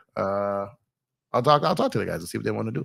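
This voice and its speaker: The intonation is lively. The words come out mumbled. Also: man. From Los Angeles, with New York and Midwest family. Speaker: sports live streamer, former basketball coach. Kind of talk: live stream chat. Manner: fast.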